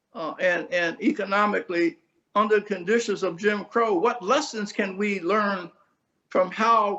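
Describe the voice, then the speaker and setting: A man speaks in a raised, projected voice with an American accent. His pitch is high, his tone bright and sharp, with ordinary pitch variation. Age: 80s+. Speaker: community activist. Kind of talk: interview.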